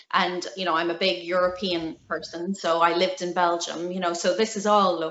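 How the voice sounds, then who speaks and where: The speaker has a Belfast accent and monotone, flat intonation. The pace is moderate, with hardly any pauses. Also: woman, medium pitch for a woman. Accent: Belfast Northern Irish. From Northern Ireland, Belfast. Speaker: felt maker, small business owner. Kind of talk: interview.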